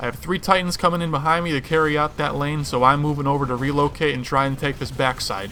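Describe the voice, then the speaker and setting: Noticeable noise runs behind a man whose speech goes by very fast. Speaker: gaming youtuber. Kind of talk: gameplay commentary. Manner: animated.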